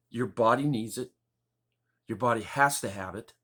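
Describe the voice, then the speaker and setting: Lively intonation marks a man talking at a moderate pace. The recording is very clean, with a silent background. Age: 60s. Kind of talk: personal testimony. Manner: casual, meandering.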